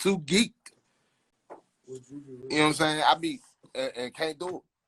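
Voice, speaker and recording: A man's fairly high voice with a DC accent, recorded dry and close with no echo. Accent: DC accent, noticed elsewhere. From Southeast Washington DC. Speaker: rapper. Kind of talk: casual chat.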